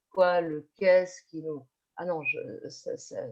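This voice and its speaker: A woman's voice, fairly low in pitch. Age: 50s. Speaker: teacher. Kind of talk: online panel discussion. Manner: halting, many fillers and repetitions.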